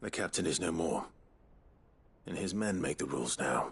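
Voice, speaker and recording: In a put-on character voice, a man speaks at a moderate pace in a calm tone, raspy and very deep, low in pitch. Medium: video game. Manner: calm, resolute.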